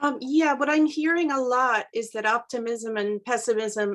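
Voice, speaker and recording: This woman has an unremarkable speaking voice and speaks at a fairly slow pace. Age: 60s. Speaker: teacher, discussion participant. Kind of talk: group discussion.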